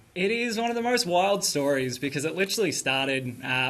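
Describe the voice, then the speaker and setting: He speaks with an Australian accent. The voice is a man's. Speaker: podcaster and electrician. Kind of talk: TV interview. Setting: live video link.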